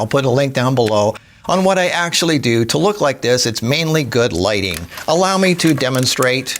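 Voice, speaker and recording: Noticeable background noise sits behind a man with a medium-pitched voice. His pitch swings very widely. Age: 60s. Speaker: health and lifestyle content creator. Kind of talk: casual monologue to camera. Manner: fast.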